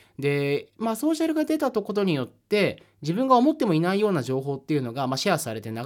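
A man at a fairly quick pace with very wide pitch swings, on a very clean recording against a silent background. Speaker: podcast host, editor and writer. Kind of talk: solo podcast monologue. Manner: frequent filler hesitations.

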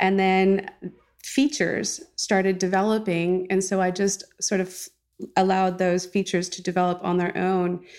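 In an American accent, a woman speaks at medium pitch with monotone, flat intonation on a very clean recording with a silent background. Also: moderate pace. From California. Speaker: visual artist. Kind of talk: interview. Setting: artist's studio.

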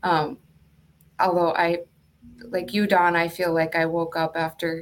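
A woman speaks with an American accent. Her pitch sits fairly low. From Duluth, Minnesota. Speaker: nurse. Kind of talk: casual interview.

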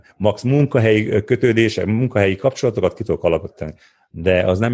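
A man talks at a very fast pace in a fairly low voice. The background is quiet. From Transylvania, Székelyudvarhely (Romania). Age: 50s. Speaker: entrepreneur and adventurer. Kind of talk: interview.

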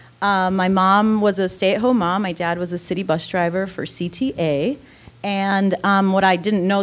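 With an American accent and an unremarkable speaking voice, a woman of medium pitch talks at a moderate pace with fairly even intonation. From south side of Chicago. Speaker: contestant, poet. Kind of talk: storytelling on stage. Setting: theater stage with audience.

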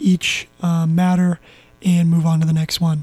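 Monotone, flat delivery from a high-pitched man at a moderate pace, with music in the background. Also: dry, close sound with no echo. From Southern California. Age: young. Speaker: sports podcaster. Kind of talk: casual solo sports commentary.

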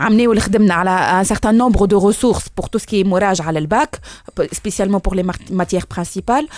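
Very fast speech from a woman, medium in pitch with ordinary pitch variation. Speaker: education ministry official. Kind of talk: radio interview.

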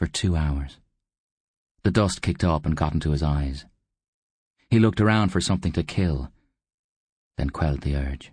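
Speaking at a moderate pace, a man has a very deep, low, somewhat breathy voice. He takes long, frequent pauses against a quiet background. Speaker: audiobook narrator. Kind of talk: literary audiobook reading, dark comic fantasy narration with character voices.

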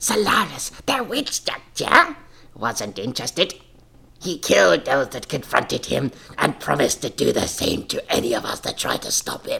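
The speaker uses a put-on character voice that is raspy. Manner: dramatic storytelling.

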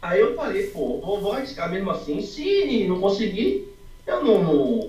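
A man talks at a fairly slow pace over noticeable background noise, with audible room echo. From Brazil, Salvador (Bahia). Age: 20s. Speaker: amateur accordion student. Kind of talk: interview. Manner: casual, slangy.

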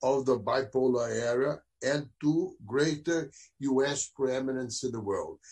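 This man talks very slowly, his fairly high voice somewhat breathy. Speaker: former diplomat, panelist. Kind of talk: panel discussion, asking questions.

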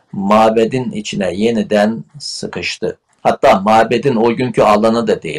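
A normal speaking voice with fairly even intonation and a dry, close sound with no echo. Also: man. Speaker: theologian and writer. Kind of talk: interview.

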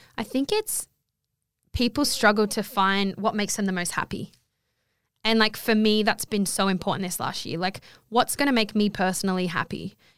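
A woman speaks at a medium pitch and a moderate pace, her intonation fairly even. The recording is very clean, with a silent background. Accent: Australian. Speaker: guest. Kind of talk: casual chat.

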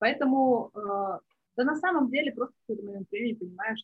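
A woman's somewhat breathy voice rises and falls with lively intonation. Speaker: business tracker and marketer. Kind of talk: interview podcast conversation.

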